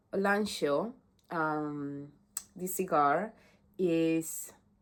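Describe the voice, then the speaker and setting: A woman speaks in a Latin American accent with a very deep, low pitch. The recording is very clean, with a silent background. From Honduras. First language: Spanish. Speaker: brand ambassador. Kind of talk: casual product presentation. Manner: halting, many fillers and repetitions.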